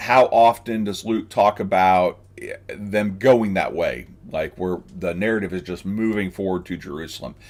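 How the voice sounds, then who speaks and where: Fairly low in pitch, a man talks at a moderate pace with ordinary pitch variation. The recording is very clean and the background silent. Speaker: pastor teaching sermon preparation. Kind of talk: live stream tutorial. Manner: hesitant, many fillers.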